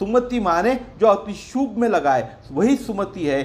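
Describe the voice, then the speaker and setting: Against noticeable background noise, a man talks with very wide pitch swings. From Maharashtra, India. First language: Marathi (speaking Hindi). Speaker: religious storyteller. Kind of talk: religious discourse.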